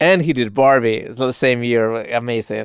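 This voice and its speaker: Someone speaks at a moderate pace with a Spanish accent. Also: man, very clean recording, silent background. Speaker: podcast host. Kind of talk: podcast movie review talk.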